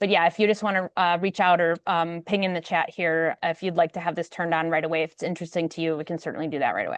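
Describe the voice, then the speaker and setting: A woman talks very fast in a fairly low voice, barely pausing, her intonation monotone and flat. The background is quiet, and the sound is dry and close with no echo. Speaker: software product presenter. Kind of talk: webinar product demo. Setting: online webinar.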